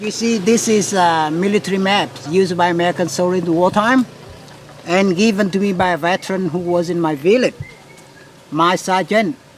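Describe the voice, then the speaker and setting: A man with a high-pitched voice talks at a fairly quick pace and with fairly even intonation over noticeable background noise. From central Vietnam. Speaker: tour guide. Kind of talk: interview. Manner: halting.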